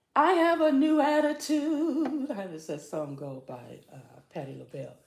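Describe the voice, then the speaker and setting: At a moderate pace, a woman talks with big swings in loudness, and audible room echo surrounds her voice. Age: 60s. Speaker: morning show host and life coach. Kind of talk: casual chat.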